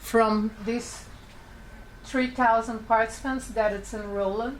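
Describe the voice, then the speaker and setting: A woman speaks at a fairly slow pace with a non-native accent, her intonation flat and monotone, with audible room echo. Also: fairly high pitch for a woman. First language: not English. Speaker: public health researcher. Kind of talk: conference presentation. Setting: panel event. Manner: halting.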